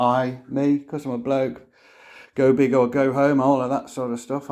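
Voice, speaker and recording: With a British accent, a man speaks at a moderate pace and a medium pitch. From UK. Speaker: DIY camper van builder. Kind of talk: casual tutorial. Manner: informal, hesitant with fillers.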